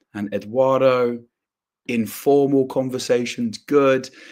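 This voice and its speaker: A man speaks at a moderate pace with a southern English accent, his pitch sitting in the middle range. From southern England, south coast. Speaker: English teacher. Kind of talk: live online English lesson. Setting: live stream.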